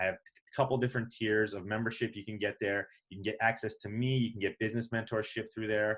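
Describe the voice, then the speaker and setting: In a very clean recording with a silent background, a man with a fairly low pitch uses a normal speaking voice with fairly even intonation. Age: 40s. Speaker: podcast host. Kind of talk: casual chat; podcast outro.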